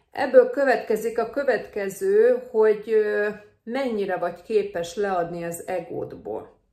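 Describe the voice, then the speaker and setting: A woman speaks very slowly at a fairly high pitch. Her loudness swings widely. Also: ordinary pitch variation. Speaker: nurse vlogger. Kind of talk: advice vlog. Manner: casual, hesitant with fillers.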